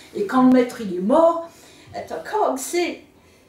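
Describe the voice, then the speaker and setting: Amid audible room echo and noticeable background noise, a woman speaks at a high pitch with very wide pitch swings. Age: 70s. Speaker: interviewee, local reader. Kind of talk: casual interview. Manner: animated.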